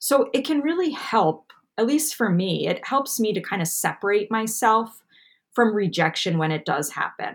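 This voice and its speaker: On a very clean recording with a silent background, a woman speaks at a moderate pace. Her voice is fairly high and somewhat breathy, with very wide pitch swings. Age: 30s. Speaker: anxiety podcast host and coach. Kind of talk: casual chat.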